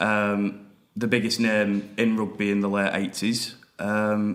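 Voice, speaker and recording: A man with a Lancashire accent at a very slow pace, fairly low pitch, monotone, flat intonation and very even loudness. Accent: Wigan. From northern England, Wigan. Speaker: podcast host. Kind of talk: casual chat.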